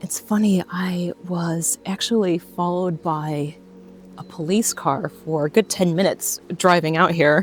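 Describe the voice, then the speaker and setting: A woman with a fairly low pitch and an unremarkable speaking voice talks at a fairly slow pace with fairly even intonation, in a dry, close sound with no echo. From United States. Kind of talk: casual talk to camera. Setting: outdoors. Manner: relaxed, chatty.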